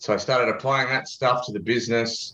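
Against a quiet background, a voice with an Australian accent comes through with a bright, sharp tone. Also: man. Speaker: podcast guest, advertising consultant. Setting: remote call.

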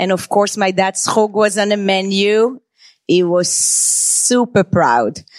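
At a very slow pace, a woman speaks at a medium pitch with a dry, close sound and no echo. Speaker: chef and restaurant owner. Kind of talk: live storytelling and interview. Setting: stage with audience.

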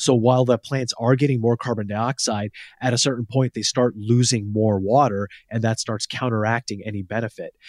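A man speaks at a fairly quick pace in a medium pitch with monotone, flat intonation. The very clean recording has a silent background and a dry, close sound with no echo. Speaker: science journalist. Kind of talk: casual chat.

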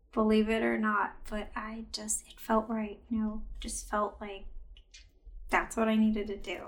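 Somewhat breathy and fairly high, a woman's voice moves at a fairly slow pace in a monotone, flat intonation with big swings in loudness. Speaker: chiropractor and acupuncturist. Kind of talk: casual interview chat.

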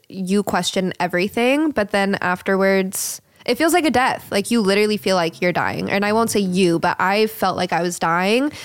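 A woman with an American accent and an unremarkable speaking voice talks at medium pitch with ordinary pitch variation, on a very clean recording with a silent background. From US, Colorado Springs. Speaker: creative director. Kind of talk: casual chat.

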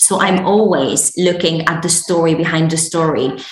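Fairly low pitch from a woman, noticeable background noise behind her. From Morocco. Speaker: podcast guest, beauty entrepreneur. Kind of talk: conversational, business talk.

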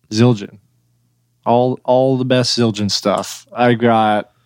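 With an American accent, a man speaks very slowly in a monotone, flat way at a medium pitch, the sound dry and close with no echo. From Oklahoma. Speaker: metal band drummer. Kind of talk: casual chat. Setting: video call.

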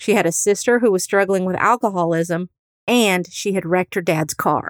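On a very clean recording with a silent background and a dry, close sound with no echo, a woman with an American accent uses an ordinary speaking voice, lively intonation and a fairly quick pace. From US Midwest. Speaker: true crime podcast host and private investigator. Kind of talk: true-crime narration, scripted. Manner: steady, serious, storytelling; earnest, faith-minded.

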